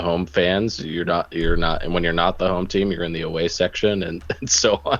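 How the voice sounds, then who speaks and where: Against a quiet background, a man with a very deep, low pitch talks at a moderate pace with fairly even intonation. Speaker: soccer podcast co-host. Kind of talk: casual chat. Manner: loud.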